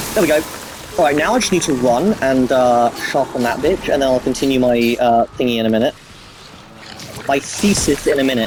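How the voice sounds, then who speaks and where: A man at a fairly quick pace, with long, frequent pauses and very even loudness, over noticeable background noise. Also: ordinary pitch variation. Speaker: gamer commentator. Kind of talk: casual gameplay commentary.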